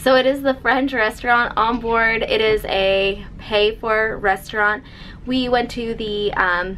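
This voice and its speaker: Fairly even intonation carries over light background noise. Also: woman. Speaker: travel vlogger. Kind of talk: casual vlog chat. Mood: cheerful, chatty. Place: home room. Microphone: phone near.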